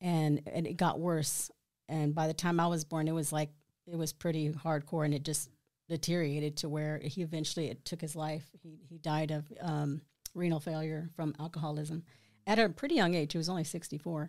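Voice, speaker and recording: The speaker talks with a Texan accent in a monotone, flat intonation. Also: woman, very deep, low pitch for a woman, fairly quick pace. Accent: Texan American. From Killeen, Texas. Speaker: church member giving testimony. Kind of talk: testimony.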